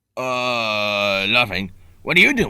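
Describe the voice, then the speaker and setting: Put-on character voice from a man, pitched fairly low. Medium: fan dub. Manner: bombastic, whiny.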